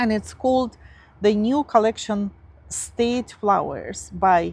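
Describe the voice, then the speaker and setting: A woman speaks in a Russian accent. Her pace is very slow. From Siberia, Russia. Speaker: craft YouTuber. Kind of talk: casual show-and-tell vlog. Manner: halting, many fillers.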